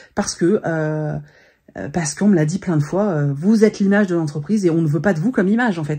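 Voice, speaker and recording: A woman speaks at a fairly quick pace with lively intonation and a fairly low pitch. Her tone is dark and mellow, and somewhat breathy. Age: 40s. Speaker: vlogger and influencer. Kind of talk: casual vlog monologue. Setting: home office. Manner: hesitant, many fillers.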